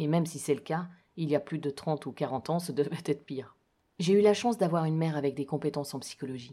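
Heard in a very clean recording with a silent background, the voice has a dark, mellow tone, a very fast pace and ordinary pitch variation. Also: woman, very deep, low pitch for a woman. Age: 40s. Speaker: podcaster sharing personal life story. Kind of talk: personal storytelling, read from a written text.

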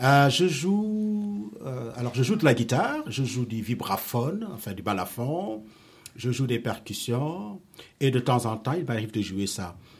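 Very slowly, a man of medium pitch speaks in a somewhat breathy voice, his pitch swinging very widely. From Senegal. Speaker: storyteller and musician. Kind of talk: interview answers to schoolchildren. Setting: school.

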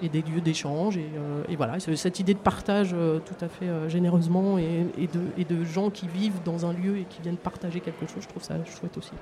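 Speech comes at a fairly quick pace with fairly even intonation. Noticeable background noise sits behind it. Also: woman, fairly low pitch for a woman. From France, Seine-et-Marne. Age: 50s. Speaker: municipal cleaning services worker, project proposer. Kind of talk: live radio interview. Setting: outdoor market, live broadcast. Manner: halting, many repetitions.

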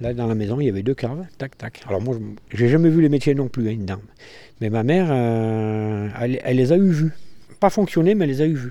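A man speaks at a fairly quick pace in a normal speaking voice, his medium pitch carried by lively intonation. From Mens, Trièves, French Alps. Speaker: local resident. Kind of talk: interview testimony.

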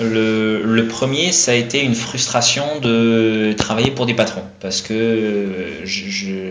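A man talks at a very slow pace, with noticeable background noise and audible room echo in the recording. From France, with Dutch roots. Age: 30s. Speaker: eco caterer and business owner. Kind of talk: radio interview.

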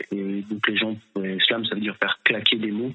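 Flat and monotone, a man's fairly low voice keeps to one note. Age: 30s. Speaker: slam poet. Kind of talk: interview answers. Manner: halting.

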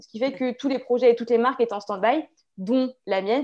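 A woman with a dark, mellow tone and ordinary pitch variation, against a quiet background. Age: 20s. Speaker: clothing brand founder, entrepreneur. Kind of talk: interview. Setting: video call.

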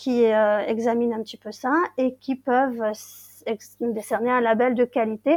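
A woman with a fairly high pitch but a dark, mellow tone speaks very slowly with fairly even intonation, in a dry, close sound with no echo. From Brittany, Finistère. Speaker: English teacher. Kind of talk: interview.

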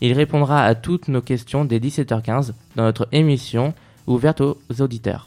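With an unremarkable speaking voice, a man talks at a moderate pace and medium pitch, his intonation fairly even. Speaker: radio news presenter. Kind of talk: newsreading. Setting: studio. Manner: formal; crisp, steady headline delivery.

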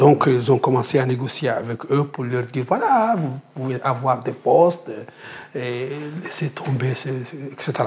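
A man speaks very slowly at a medium pitch with ordinary pitch variation. Noticeable background noise is present. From Mauritania. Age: 50s. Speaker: anti-slavery activist. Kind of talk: interview testimony. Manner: halting with repetitions.

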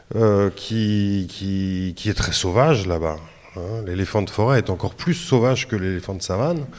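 Pitched fairly low, a man talks at a moderate pace. His intonation is lively. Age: 40s. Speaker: freelance reporter. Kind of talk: interview answers for a school radio show. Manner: hesitant, many repetitions.

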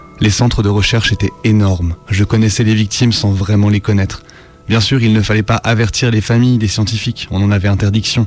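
Against noticeable background noise, a man talks at a fairly quick pace with a fairly low pitch and monotone, flat intonation. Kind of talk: horror creepypasta narration in the voice of a researcher. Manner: grave, measured, ominous, with a haunted and shaken tone.

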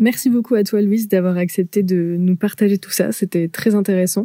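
A woman's voice carries a dark, mellow tone with fairly even intonation. The sound is dry and close, with no echo. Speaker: podcast host. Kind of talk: casual interview. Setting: remote call recording.

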